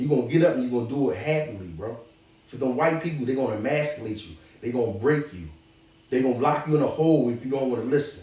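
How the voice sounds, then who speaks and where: A man talks at a very fast pace with an animated tone and lively intonation, amid noticeable background noise and audible room echo. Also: medium pitch for a man, big swings in loudness. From Philadelphia, North Philly. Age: 40s. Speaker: former prisoner turned author and clothing entrepreneur. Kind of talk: motivational advice in an interview.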